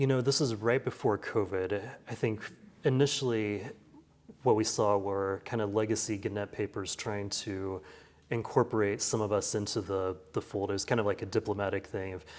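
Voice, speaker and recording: A man with a Midwestern American accent speaks at a fairly low pitch with fairly even intonation, on a very clean recording with a silent background. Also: moderate pace. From rural Kansas. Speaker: newspaper editor. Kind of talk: interview answer. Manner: conversational.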